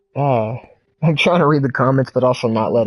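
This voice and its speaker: Music plays behind a man speaking at a moderate pace, his medium pitch carried on fairly even intonation. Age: 30s. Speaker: video game streamer. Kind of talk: casual chat.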